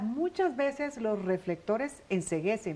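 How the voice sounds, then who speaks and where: A woman's voice with very wide pitch swings. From Colombian Caribbean coast. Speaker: TV interviewer. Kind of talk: scripted introduction.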